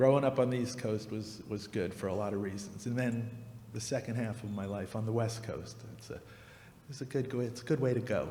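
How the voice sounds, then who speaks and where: Fairly quick and somewhat breathy, a man with an American accent speaks in a dark, mellow tone with fairly even intonation and audible room echo. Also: medium pitch for a man. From New Jersey, US. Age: 60s. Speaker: radio host and musician. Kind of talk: interview on stage.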